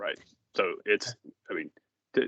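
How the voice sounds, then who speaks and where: A man talks with a Southern US accent. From Arkansas, US South. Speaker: asset management professional. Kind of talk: video conference meeting.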